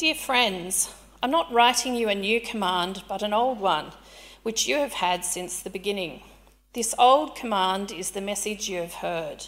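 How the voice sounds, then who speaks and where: In an ordinary speaking voice, a woman at medium pitch speaks fairly slowly with lively intonation. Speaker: scripture reader. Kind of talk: reading aloud. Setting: church.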